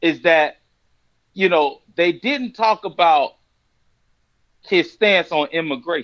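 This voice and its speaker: A man with a Florida accent speaks at a very slow pace in a high pitch. Long, frequent pauses break up his speech. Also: lively intonation. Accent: Florida twang. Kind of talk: casual religious discussion.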